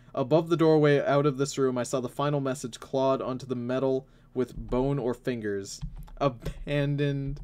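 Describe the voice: This is plain reading aloud. Fairly even intonation carries through it.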